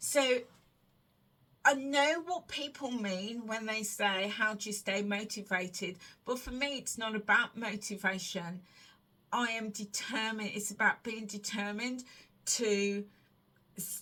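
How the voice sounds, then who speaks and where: The speech moves at a fairly slow pace. Its tone is bright and sharp. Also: woman, fairly high pitch for a woman, ordinary pitch variation. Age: 50s. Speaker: weight loss vlogger and wellness coach. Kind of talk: casual Q&A monologue to camera. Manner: conversational with hesitations and self-repetition.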